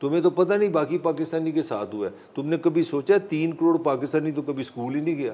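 A man's fairly high-pitched voice has a dark, mellow tone and ordinary pitch variation. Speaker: journalist and political analyst. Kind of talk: talk show interview.

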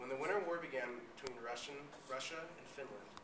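This man talks at a very fast pace, with noticeable background noise present. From Alaska. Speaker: college student. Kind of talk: student presentation. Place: classroom. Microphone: camera far.

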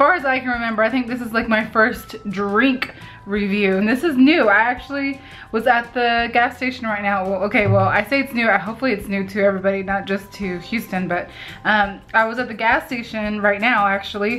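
A woman speaks at a fairly quick pace. Faint music plays in the background. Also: ordinary pitch variation. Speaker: vlogger. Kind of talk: casual vlog chat, product taste review. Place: home room. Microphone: phone near.

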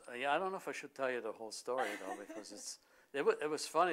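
A man is speaking over noticeable background noise. His pitch varies in an ordinary way. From Austria. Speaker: glass engraver. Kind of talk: interview answer. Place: office. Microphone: lapel.

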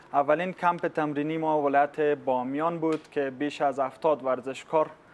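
Here a man talks at a moderate pace. His intonation stays monotone and flat. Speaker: guest. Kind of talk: interview answer. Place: studio. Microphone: lapel.

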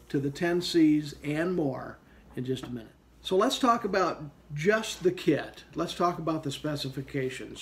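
Light background noise sits under a man talking at a moderate pace. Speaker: gear reviewer. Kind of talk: product review talk. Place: home room. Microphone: phone near.

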